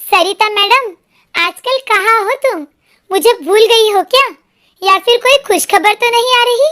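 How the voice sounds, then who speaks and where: In a put-on character voice, a woman speaks at an extremely high pitch. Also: moderate pace. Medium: read story. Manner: lively, playful.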